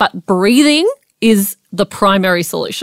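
With a normal speaking voice, a woman at medium pitch speaks at a fairly slow pace in a dry, close sound with no echo. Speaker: podcast co-host. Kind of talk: pep talk, coaching-style explainer addressed directly to listeners. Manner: direct, encouraging address to 'folks'.

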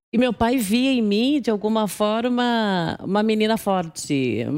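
The woman talks at a very slow pace with ordinary pitch variation. The recording is very clean, with a silent background. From Brazil, Guarulhos (São Paulo). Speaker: business executive. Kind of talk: interview, personal life story. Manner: calm, serene.

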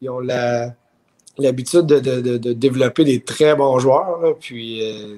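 At a fairly slow pace, a man talks with a medium pitch and fairly even intonation. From Quebec and Ottawa. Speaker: former professional baseball pitcher. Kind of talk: casual chat.

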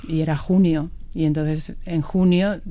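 A woman speaks with a very deep, low pitch and a dark, mellow tone. Room echo is audible. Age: 40s. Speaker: cyclist. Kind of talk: interview. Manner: halting.

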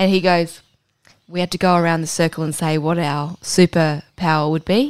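A woman speaks in an Australian accent at a moderate pace. The recording is very clean, with a silent background. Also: fairly low pitch for a woman. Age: 30s. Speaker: podcast co-host. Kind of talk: casual chat. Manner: animated.

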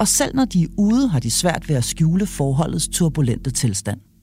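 The woman keeps a moderate pace while music plays in the background. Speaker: podcast host. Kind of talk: interview; scripted narration. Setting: allotment garden cabin.

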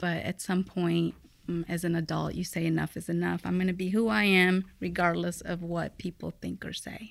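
A woman with a Midwestern US accent at a moderate pace. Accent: US Midwest. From Mexico, raised in Fort Wayne, Indiana from age eight. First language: Spanish. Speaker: guest sharing immigrant story. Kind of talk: interview conversation.

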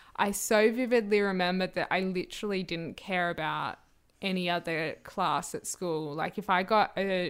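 Over a silent background on a very clean recording, a woman with an Australian accent speaks at a medium pitch with fairly even intonation. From Australia, New South Wales South Coast. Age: 20s. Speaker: podcast host and actor. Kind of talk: casual interview. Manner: hesitant, lots of fillers and laughs.

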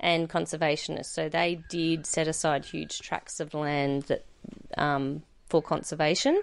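Monotone, flat delivery from a woman with an Australian accent, very deep and low in pitch, at a fairly slow pace. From central Queensland, Australia. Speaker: cattle producer. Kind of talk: interview. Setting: on a cattle station.

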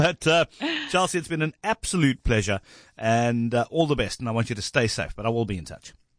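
A man with a plain, everyday voice, fairly quick pace and lively intonation, in a dry, close sound with no echo. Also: medium pitch for a man. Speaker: radio host. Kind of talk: radio news interview. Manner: casual, jokey.

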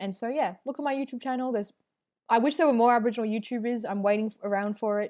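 Speaking at a very fast pace, a woman with an Australian accent has a fairly high pitch and ordinary pitch variation. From Melbourne western suburbs, Australia. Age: 20s. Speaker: comedian and artist. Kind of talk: casual interview.

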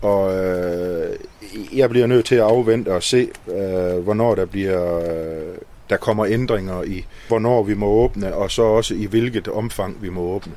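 Using fairly even intonation, a man with a fairly low pitch and a dark, mellow tone speaks at a very slow pace. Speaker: pub owner. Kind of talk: casual interview. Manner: halting, many fillers.

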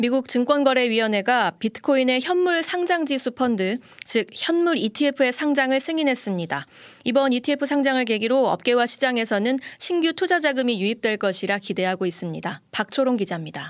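Her high pitch carries lively intonation as the woman keeps a moderate pace and very even loudness. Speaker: radio news anchor. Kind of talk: news reading. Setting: studio.

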